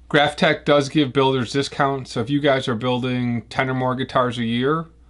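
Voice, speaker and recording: The speaker talks at a moderate pace with a Chicago accent. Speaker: guitar builder. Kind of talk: tutorial. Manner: casual.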